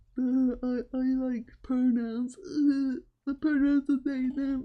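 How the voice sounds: A put-on character voice at a very slow pace. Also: female-sounding voice, high pitch for a woman.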